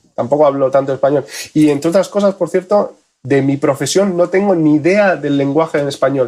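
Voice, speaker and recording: A man's dark, mellow voice, fairly high for a man, at a fairly quick pace, very even in loudness and with ordinary pitch variation. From Spain, with childhood years in Argentina. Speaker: photonics engineer. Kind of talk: podcast interview.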